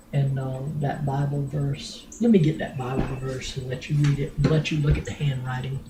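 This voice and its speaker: A woman with a very deep, low voice speaks in a flat monotone at a moderate pace over noticeable background noise. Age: old. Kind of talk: storytelling to family.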